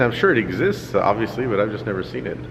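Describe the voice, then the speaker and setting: Amid noticeable background noise and audible room echo, a man with an American accent speaks at medium pitch and a fairly quick pace. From Los Angeles. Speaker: cartoonist vlogger. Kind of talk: casual vlog. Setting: convention hall.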